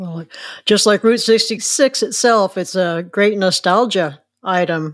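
At a very slow pace, a woman talks with a Midwestern American accent. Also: medium pitch for a woman, ordinary pitch variation. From rural Illinois. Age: 70s. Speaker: podcast host. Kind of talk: interview.

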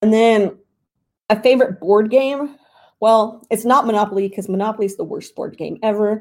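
A woman has an unremarkable speaking voice with a fairly high pitch and fairly even intonation. She goes at a moderate pace with big swings in loudness. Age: 30s. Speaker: fantasy football writer and podcast host. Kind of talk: casual Q&A answering audience questions. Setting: live stream on Discord.

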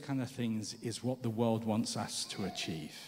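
Noticeable background noise fills the recording. Audible room echo surrounds the sound. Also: man. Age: 50s. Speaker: pastor. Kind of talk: sermon.

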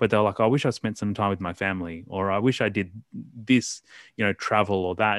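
A man with an Australian accent talks at a fairly quick pace in a fairly low pitch with ordinary pitch variation, the sound dry and close with no echo over a quiet background. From Australia, Melbourne. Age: 30s. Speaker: writer and anti-violence campaigner. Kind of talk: casual interview.

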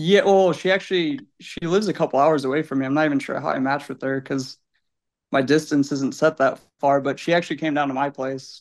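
Against a quiet background, a man with a plain, everyday voice and an American accent talks at a fairly quick pace, his pitch fairly high and his intonation fairly even. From Illinois. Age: 20s. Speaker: listener. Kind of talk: casual chat. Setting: video call.

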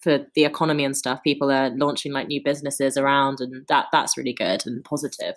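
A woman's very deep, low voice in a London accent, monotone and flat, at a fairly quick pace, on a very clean recording with a silent background. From London, Wood Green. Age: young. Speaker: podcast host. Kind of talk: casual chat.

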